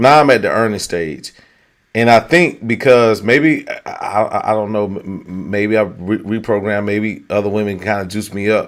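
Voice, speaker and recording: Moderately paced speech from a man, his pitch fairly low. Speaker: dating talk show host. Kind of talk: casual chat. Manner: loud.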